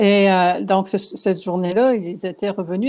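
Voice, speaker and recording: Her tone dark and mellow, a woman speaks at medium pitch with fairly even intonation. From Quebec, Abitibi region. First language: Cree and Anishinaabe (speaking French). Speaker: painter and writer. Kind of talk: interview.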